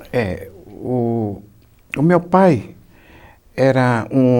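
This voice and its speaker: A man speaks with ordinary pitch variation. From interior of São Paulo state, Brazil. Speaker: retired teacher. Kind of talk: oral history interview. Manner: halting.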